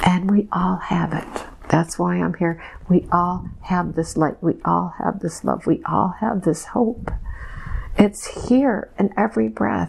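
Over light background noise, a woman speaks at a very slow pace. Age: 60s. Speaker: hypnosis subject channeling messages. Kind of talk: trance channeling session. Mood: trance-like, slow, emotional. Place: home room. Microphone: lapel.

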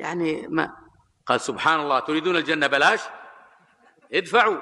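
A man speaks at a moderate pace with a bright, sharp tone and ordinary pitch variation. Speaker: religious lecturer. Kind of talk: sermon. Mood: critical, mildly sarcastic storytelling. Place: hall. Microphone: podium.

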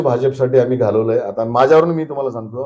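The man's voice has a medium pitch, a dark, mellow tone and ordinary pitch variation. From Marathwada, Maharashtra (Dharashiv district). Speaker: local politician. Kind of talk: interview.

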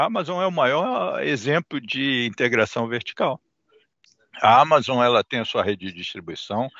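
A man talks at a moderate pace over a quiet background, the sound dry with no echo. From Brazil. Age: 60s. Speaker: shipping terminal investment executive. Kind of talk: interview; interview answer. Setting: video call. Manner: halting, many fillers. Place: office. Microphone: headset.

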